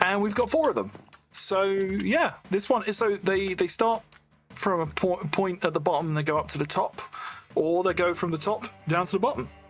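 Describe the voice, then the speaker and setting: Fairly quick speech in an English accent, with music in the background. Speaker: gaming YouTuber. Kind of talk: casual gameplay commentary. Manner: casual, hesitant with fillers.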